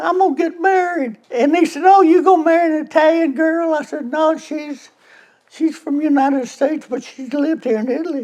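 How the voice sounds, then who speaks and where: A man's extremely high-pitched voice with a Memphis accent, ordinary pitch variation and a fairly quick pace. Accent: Southern US (Memphis). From US South, Memphis, Tennessee. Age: 90s. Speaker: car club member telling a story. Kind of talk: storytelling, joke. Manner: halting, repeats words.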